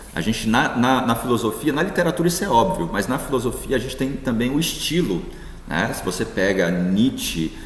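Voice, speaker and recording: Speaking at a medium pitch, a man is recorded with noticeable background noise and audible room echo. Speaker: philosophy professor. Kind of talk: lecture. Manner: hesitant fillers.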